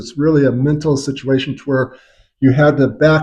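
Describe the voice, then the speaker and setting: At a moderate pace, a man with a fairly high pitch talks in an ordinary speaking voice, keeping his intonation fairly even. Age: 60s. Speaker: chiropractor. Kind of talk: tutorial.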